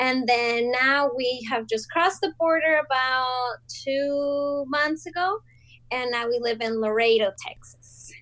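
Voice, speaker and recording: Speaking with a Spanish accent, a woman keeps a fairly slow pace. Her high voice has a bright, sharp tone and ordinary pitch variation. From Colombia (Bogota). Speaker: small business owner. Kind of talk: casual interview chat.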